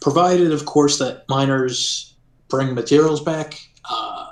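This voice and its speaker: Pitched fairly high, a man's voice proceeds at a moderate pace. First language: not English. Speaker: game server admin. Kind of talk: interview. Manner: hesitant, many fillers.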